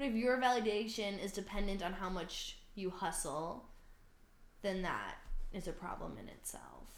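With an American accent, a woman speaks at a medium pitch, showing ordinary pitch variation and big swings in loudness. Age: 20s. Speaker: podcast co-host. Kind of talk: casual chat. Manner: fast.

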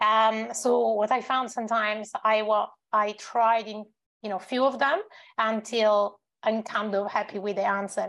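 Using a non-native accent, a woman speaks in a fairly high voice at a fairly slow pace with fairly even intonation. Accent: foreign-accented English. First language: not English. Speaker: company CEO and panelist. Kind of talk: panel discussion. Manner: hesitant, filler-heavy.

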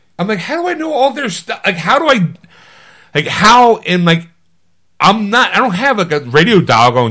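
Raised and projected, a man's high, bright, sharp voice sounds animated, with very wide pitch swings. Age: 50s. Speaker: podcast co-host. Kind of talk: casual chat.

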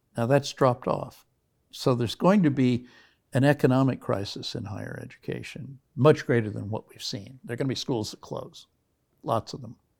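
Vocal fry with ordinary pitch variation. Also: man, medium pitch for a man, moderate pace, big swings in loudness, very clean recording, silent background. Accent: American. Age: 70s. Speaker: history professor. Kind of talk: interview conversation.

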